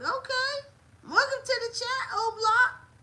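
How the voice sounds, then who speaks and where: A woman with an American accent speaks at a fairly slow pace. Her tone is animated. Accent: people say he doesn't sound Southern. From US South, Montgomery, Alabama. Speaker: wrestling livestreamer. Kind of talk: casual livestream chat.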